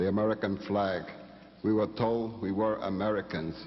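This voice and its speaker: His intonation stays monotone and flat. The man keeps a moderate speed. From Puerto Rico. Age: 60s. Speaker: tribunal witness. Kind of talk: testimony.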